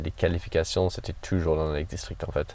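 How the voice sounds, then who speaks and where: In an English accent, a man speaks with a dark, mellow tone. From northern England, Cumbria. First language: English (speaking French). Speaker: trail runner. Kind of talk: interview. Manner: halting.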